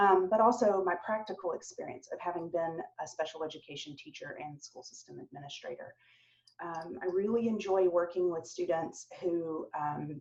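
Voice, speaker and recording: With a slight Southern US accent, a woman speaks at a moderate pace in a fairly low pitch. Her pitch variation is ordinary, while her loudness swings a lot. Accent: slight Southern twang. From US South, Atlanta, Georgia. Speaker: professor. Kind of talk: virtual open house introduction. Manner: frequent fillers (um).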